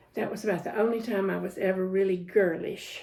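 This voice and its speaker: A woman speaks with a Southern US accent at a moderate pace. Her dark, mellow voice sits at medium pitch with fairly even intonation. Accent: Southern US (Georgia). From US South, Georgia (Jenkinsburg). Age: 70s. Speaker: interviewee recalling her life. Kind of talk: oral history interview.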